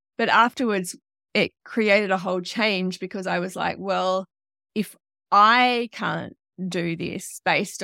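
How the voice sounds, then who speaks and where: A woman with an Australian accent. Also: dry, close sound with no echo. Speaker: online riding coach. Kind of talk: interview conversation.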